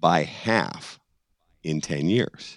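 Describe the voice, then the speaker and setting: The speaker has a Boston accent and lively intonation. The sound is dry and close with no echo, over a quiet background. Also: man. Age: 60s. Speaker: brother of a murder victim, cold case advocate. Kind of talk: podcast interview. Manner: outspoken, laughs often.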